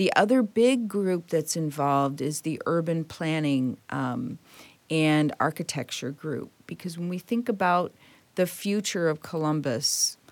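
A woman with a Midwestern American accent speaks fairly slowly with a very deep, low pitch and ordinary pitch variation. The recording is very clean, with a silent background. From Detroit, Michigan. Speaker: automotive engineering executive. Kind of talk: interview.

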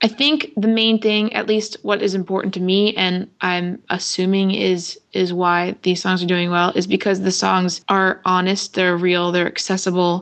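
At a moderate pace and medium pitch, a woman with an unremarkable speaking voice talks with fairly even intonation and very even loudness. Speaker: singer-songwriter. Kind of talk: interview.

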